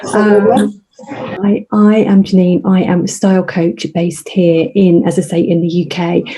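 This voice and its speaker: A quiet woman's voice over noticeable background noise. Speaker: style coach. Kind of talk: casual chat. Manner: quiet, hushed.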